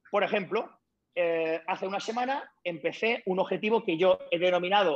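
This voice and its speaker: A man does the talking here. His words come at a fairly slow rate. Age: 40s. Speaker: retired bodybuilder. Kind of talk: interview.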